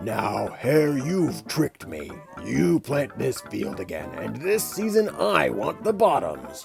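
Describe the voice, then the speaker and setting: A put-on character voice from a man, fairly slow in pace, over clear background music. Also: medium pitch for a man. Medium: read story. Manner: slow, drowsy, grunting.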